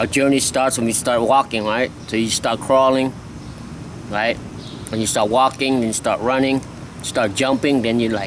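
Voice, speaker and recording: A man with a Lao accent in monotone, flat delivery, with long, frequent pauses and noticeable background noise. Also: medium pitch for a man, moderate pace. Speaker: skateboarding vlogger. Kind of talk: casual vlog monologue. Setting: outdoors. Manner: halting.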